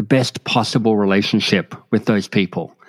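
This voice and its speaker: In an Australian accent, a man speaks at a moderate pace. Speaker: author and coach. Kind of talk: interview.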